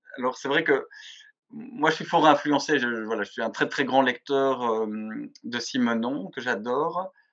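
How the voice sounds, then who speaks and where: A man at a medium pitch with ordinary pitch variation. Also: fairly slow pace. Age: 40s. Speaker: journalist and magazine editor. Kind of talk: interview. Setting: video call. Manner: hesitant, many fillers.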